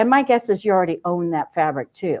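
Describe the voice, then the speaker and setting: A woman speaks with ordinary pitch variation. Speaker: quilting pattern designer and vendor. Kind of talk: craft presentation. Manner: animated.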